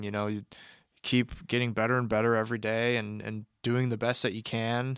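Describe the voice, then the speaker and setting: A man with an American accent, medium pitch, flat monotone delivery and a fairly quick pace, on a very clean recording with a silent background. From US Midwest, Kansas City, Missouri. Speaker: recording studio manager and audio engineer. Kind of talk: casual interview conversation. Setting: recording studio room.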